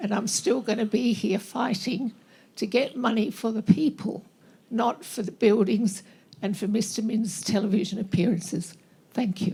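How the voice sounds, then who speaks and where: A somewhat breathy woman's voice at a fairly high pitch, with ordinary pitch variation and a moderate pace. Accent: Australian. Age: 80s+. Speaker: audience member, bereaved parent advocate. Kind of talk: impassioned statement from the floor.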